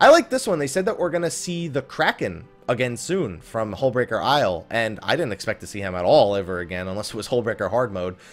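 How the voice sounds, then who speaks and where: A man at a very fast pace with very wide pitch swings and hardly any pauses, music in the background. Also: medium pitch for a man. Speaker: gaming commentator. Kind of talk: casual talk to camera. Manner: low energy.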